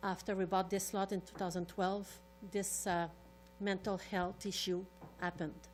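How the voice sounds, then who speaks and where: Speaking fairly quickly in a French Canadian accent, a woman holds a medium pitch and a flat, monotone delivery. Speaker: resident neighbor. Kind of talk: public delegation at council meeting. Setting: council chambers.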